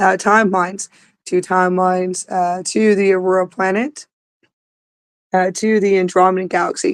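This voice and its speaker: The sound is dry and close, with no echo. The speech moves at a fairly slow pace. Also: woman. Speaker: spiritual channeler. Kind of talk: spiritual livestream talk. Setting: outdoors. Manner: halting, repetitive.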